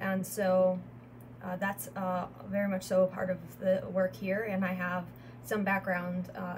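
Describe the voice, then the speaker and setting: Over light background noise, a woman with a Chicago accent talks at a fairly slow pace, her medium pitch held in fairly even intonation. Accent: US Midwestern (Chicago area). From Northwest Indiana, US Midwest. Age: 20s. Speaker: wellness entrepreneur and YouTuber. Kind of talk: channel introduction monologue. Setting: solo video recording. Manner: halting with frequent fillers. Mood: calm, warm, proud. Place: home room. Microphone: phone near.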